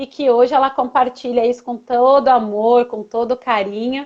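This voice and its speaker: A woman's high-pitched voice at a fairly slow pace. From southern Brazil, Rio Grande do Sul. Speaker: coach and live-stream host. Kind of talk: casual interview chat. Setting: Instagram live video stream.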